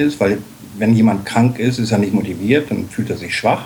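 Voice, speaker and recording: A man talks at a medium pitch. Background noise is noticeable throughout. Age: 50s. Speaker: dog-at-work association chair. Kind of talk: interview. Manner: hesitant fillers.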